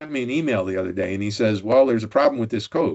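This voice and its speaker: A man's plain, everyday voice at medium pitch with ordinary pitch variation. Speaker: Excel expert presenter. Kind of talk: technical tutorial presentation.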